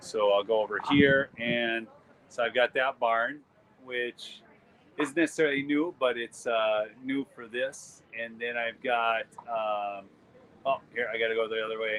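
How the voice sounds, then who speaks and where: Speaking slowly-ish with fairly even intonation, a man at medium pitch talks in a Minnesotan accent at a fairly slow pace. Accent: Minnesota. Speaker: photographer and YouTube host. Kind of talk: live stream vlog at art booth. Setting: outdoor art show booth. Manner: casual, halting with fillers.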